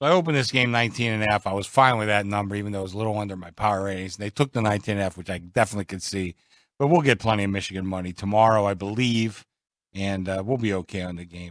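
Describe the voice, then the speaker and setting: Very fast and fairly low, a man's voice shows ordinary pitch variation and big swings in loudness on a very clean recording with a silent background. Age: 60s. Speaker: sportsbook director. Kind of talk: casual sports betting talk. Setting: studio.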